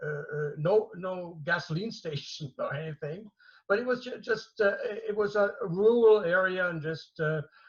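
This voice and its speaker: In a German accent, a man talks at a fairly slow pace with a high pitch and ordinary pitch variation. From Germany. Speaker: martial arts master. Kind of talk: interview. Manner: halting, many fillers and repetitions.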